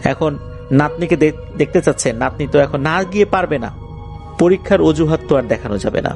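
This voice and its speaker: With music playing behind him, this man talks in a fairly high voice whose pitch varies in an ordinary way. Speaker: radio show host. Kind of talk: horror story narration; radio show. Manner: conversational storytelling.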